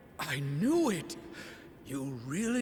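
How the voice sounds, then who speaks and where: A man's put-on character voice, fairly high in pitch, over clear background noise. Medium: machinima. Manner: dry, wry.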